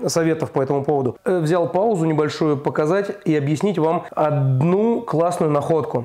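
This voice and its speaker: A man's voice is heard. The rise and fall of his pitch is ordinary. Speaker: DIY home-building vlogger. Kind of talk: casual vlog chat. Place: empty room. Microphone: lapel.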